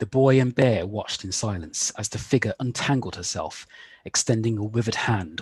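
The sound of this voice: Pitch moves in an ordinary way across this unforced reading voice.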